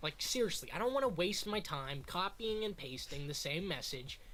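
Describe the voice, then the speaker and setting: A loud man speaking in an animated tone with lively intonation. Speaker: YouTuber / streamer. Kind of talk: tutorial. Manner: casual, animated.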